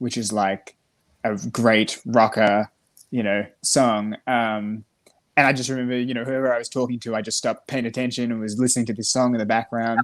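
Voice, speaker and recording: In a very clean recording with a silent background, a man speaks at a moderate pace. His medium-pitched voice is monotone, with flat intonation. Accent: Australian. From Australia. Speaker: musician. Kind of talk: casual interview chat.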